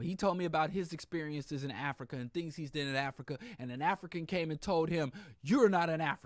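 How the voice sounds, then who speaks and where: Animated and very fast, a man talks at a fairly high pitch with ordinary pitch variation. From US Midwest, Kansas. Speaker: radio host. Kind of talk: radio talk monologue. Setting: studio with live stream.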